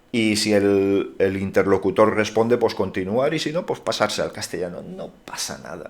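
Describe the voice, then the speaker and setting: A man speaks with a Valencian accent. His pace is moderate and his intonation lively. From Valencia region, Spain (Manises). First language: Valencian (speaking Spanish). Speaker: YouTuber. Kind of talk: Q&A monologue.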